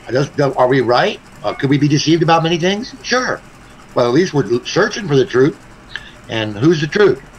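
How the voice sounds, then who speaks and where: A man speaks at a fairly high pitch and a moderate pace. His pitch swings very widely over noticeable background noise. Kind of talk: casual chat. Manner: loud; halting, many fillers.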